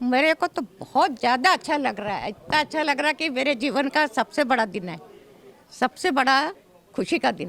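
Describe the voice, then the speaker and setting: A high-pitched woman's voice with big swings in loudness. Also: lively intonation. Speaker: temple trustee family member. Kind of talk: interview.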